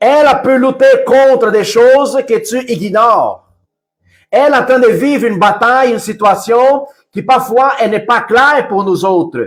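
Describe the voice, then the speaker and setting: Over music in the background, a man speaks loudly at a fairly slow pace, his pitch extremely high and his pitch variation ordinary. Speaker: preacher. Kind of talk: sermon. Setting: livestream. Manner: softer, calm at times.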